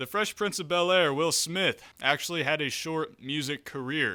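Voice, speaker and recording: Upbeat in tone, a man speaks at a moderate pace with a bright, sharp tone and ordinary pitch variation in a very clean recording with a silent background. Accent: American. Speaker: radio host. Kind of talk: live radio talk between songs. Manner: casual, upbeat, conversational.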